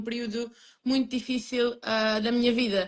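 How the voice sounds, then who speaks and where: A woman with a Lisbon accent talks at a fairly slow pace and a fairly high pitch. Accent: European Portuguese, Lisbon. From Portugal, Lisbon. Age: 20s. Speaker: emigrant interviewee. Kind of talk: interview.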